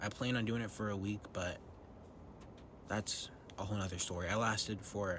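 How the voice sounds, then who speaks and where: In a room with audible echo, a man with a fairly low pitch speaks in a bright, sharp tone and fairly even intonation. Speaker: vlogger. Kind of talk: personal vlog monologue. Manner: whispering; hesitant with many ums.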